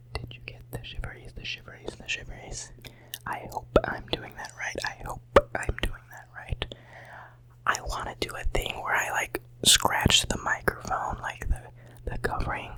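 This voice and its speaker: A man whispers at a moderate pace, his loudness swinging widely. Noticeable background noise is present. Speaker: college student. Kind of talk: ASMR whispering video. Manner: whispered; relaxing, soft.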